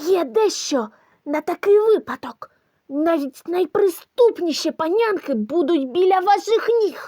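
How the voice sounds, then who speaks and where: This is a put-on character voice with an extremely high pitch. It moves at a fairly slow pace. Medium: audio drama.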